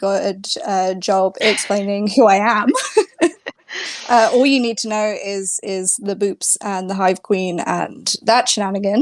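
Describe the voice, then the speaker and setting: Fairly slow delivery in an English accent, with ordinary pitch variation. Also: woman. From England. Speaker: tabletop gaming presenter. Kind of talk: casual chat. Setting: live stream.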